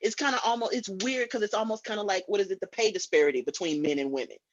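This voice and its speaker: A loud woman speaks very fast with an American accent. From Illinois, Chicago. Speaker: guest. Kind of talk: casual chat.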